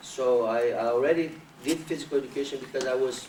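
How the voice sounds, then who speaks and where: Noticeable background noise runs under a man's speech. His medium-pitched voice moves at a moderate pace. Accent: Brazilian Portuguese. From Brazil. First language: Portuguese. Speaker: capoeira master. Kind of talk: interview. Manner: halting.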